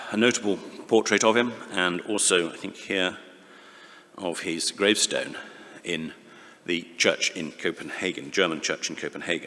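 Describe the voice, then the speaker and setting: A man with a fairly low pitch talks at a moderate pace with ordinary pitch variation. Long, frequent pauses break his speech, and there is noticeable background noise. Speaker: conference speaker. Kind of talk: academic conference talk. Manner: halting.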